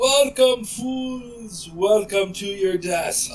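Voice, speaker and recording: Loud and booming, this put-on character voice moves at a very slow pace. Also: female-sounding voice, fairly high pitch for a woman. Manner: gloating, menacing.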